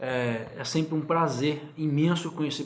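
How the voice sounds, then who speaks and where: Noticeable background noise and audible room echo both surround this man's speech. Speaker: YouTuber. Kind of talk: casual chat. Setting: guest's home.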